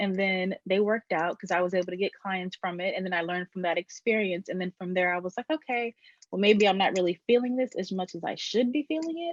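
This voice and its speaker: A woman with an American accent and a normal speaking voice talks at a fairly quick pace and medium pitch, with lively intonation, hardly any pauses, and a dry, close sound with no echo. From Maryland, US East Coast. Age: 20s. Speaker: brand strategist and web designer. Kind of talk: podcast interview. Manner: casual, filler-heavy.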